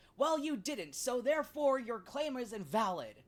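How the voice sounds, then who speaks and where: A man in a put-on character voice pushes his pitch extremely high. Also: moderate pace. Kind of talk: formal, argumentative. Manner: stiff, formal, assertive.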